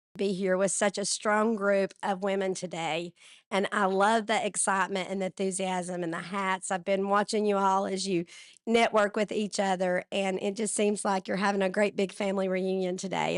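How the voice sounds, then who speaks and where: Against a quiet background, a woman speaks at a moderate pace and medium pitch with monotone, flat intonation. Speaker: state legislator. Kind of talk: speech to event audience.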